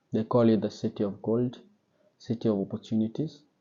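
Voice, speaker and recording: Speaking in a Kenyan accent at a moderate pace, a man talks with a medium pitch. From Kenya, central Kenya. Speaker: sommelier and wine vlogger. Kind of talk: personal story vlog. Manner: casual, with fillers and hesitations.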